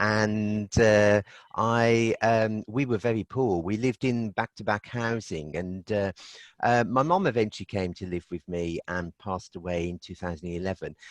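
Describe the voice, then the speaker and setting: A Birmingham accent at a moderate pace, with ordinary pitch variation and a quiet background. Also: man, fairly low pitch for a man. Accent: Birmingham (Brummie) English. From Birmingham, England (Aston). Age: 60s. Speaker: energy healing therapist. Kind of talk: interview.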